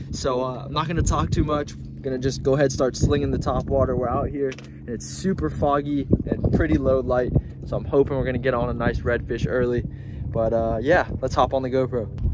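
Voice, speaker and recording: A man talks with hardly any pauses over loud background noise. The sound is dry, with no echo. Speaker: fishing vlogger. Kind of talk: casual vlog chat. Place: boat. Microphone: phone near.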